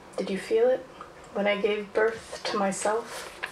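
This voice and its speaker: A woman talks at a medium pitch. There is light background noise and audible room echo. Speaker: poet performer. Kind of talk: poem performed, spoken-word poetry. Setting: stage with audience. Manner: casual, chatty and self-aware between pieces. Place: stage.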